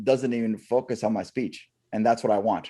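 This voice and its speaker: A man's tone is dark and mellow, and he talks at a moderate pace. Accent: American. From Canada and US. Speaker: comedian and stuttering advocate. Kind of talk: interview. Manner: halting, repetitions.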